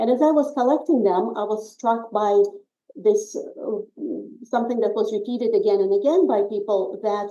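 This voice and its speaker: Speaking with a Russian accent and a dark, mellow tone, a woman with a fairly high pitch keeps a moderate pace. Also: ordinary pitch variation. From Soviet Union, emigrated as teen to US. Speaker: author. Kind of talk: interview. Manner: hesitant with frequent fillers.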